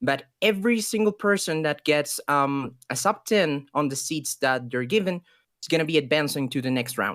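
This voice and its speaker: A Spanish accent at a moderate pace, on a very clean recording with a silent background. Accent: Spanish accent, noticeable. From Ecuador. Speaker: esports caster. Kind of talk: live commentary.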